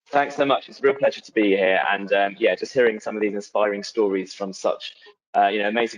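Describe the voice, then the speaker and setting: Talking at a very fast pace, a man with a fairly low pitch uses ordinary pitch variation. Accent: British. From UK. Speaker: museum founder. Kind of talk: webinar presentation.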